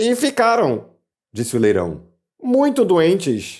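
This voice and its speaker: Putting on a character voice, a man speaks high and hoarse with very wide pitch swings at a fairly slow pace, on a very clean recording with a silent background. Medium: read story.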